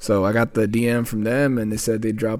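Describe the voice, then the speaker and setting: The speaker talks at a fairly quick pace in a normal speaking voice. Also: man. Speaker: podcast host and audio editor. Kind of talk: casual chat. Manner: casual, slangy.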